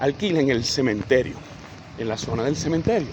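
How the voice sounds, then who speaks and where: A male voice has lively intonation and a moderate pace. Noticeable background noise runs underneath. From Venezuela, Caracas. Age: 60s. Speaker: political commentator. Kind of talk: political commentary answering a comment. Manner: hesitant, with fillers and restarts.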